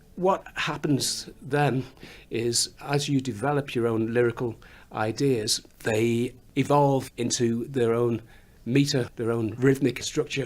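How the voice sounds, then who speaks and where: A man with a slight Scouse accent speaks at a medium pitch. His intonation is fairly even and his pace very slow. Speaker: musician, songwriter. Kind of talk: interview. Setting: recording studio. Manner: halting, repeats words.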